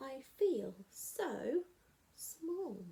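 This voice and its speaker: A woman puts on a high-pitched character voice. Her pitch swings very widely. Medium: read story. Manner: wistful, sighing.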